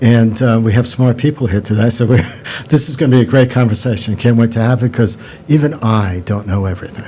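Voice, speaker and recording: With a New York accent, the speaker talks at a fairly quick pace with ordinary pitch variation over noticeable background noise. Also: man. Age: 60s. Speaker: podcast host. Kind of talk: interview.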